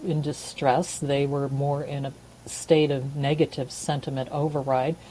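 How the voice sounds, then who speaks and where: With a dark, mellow and calm tone, the voice holds a fairly even intonation. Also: woman. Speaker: couples therapist. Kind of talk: interview. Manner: calm, low-energy.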